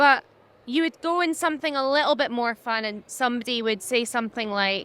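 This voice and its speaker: A high-pitched woman at a moderate pace, lively in intonation, with noticeable background noise. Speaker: social media influencer. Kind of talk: interview conversation. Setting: trade exhibition.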